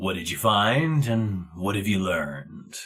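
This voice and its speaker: Fairly slow, fairly low-pitched speech from a man doing a put-on character voice. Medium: actual play. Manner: curt, deadpan, unsmiling.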